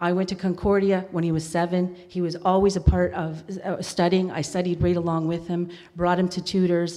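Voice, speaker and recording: Over a quiet background, a woman with a dark, mellow tone and fairly low pitch speaks at a moderate pace in a monotone, flat intonation. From Kahnawake, Quebec and British Columbia. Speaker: council candidate. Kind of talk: campaign speech. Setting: stage with audience. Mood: personal, emotional storytelling. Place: hall.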